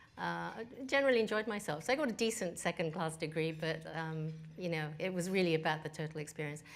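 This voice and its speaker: With a Japanese accent, a woman talks very fast in a fairly low pitch. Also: ordinary pitch variation. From Australia and England, Japanese family. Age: 50s. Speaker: business executive. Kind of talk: interview.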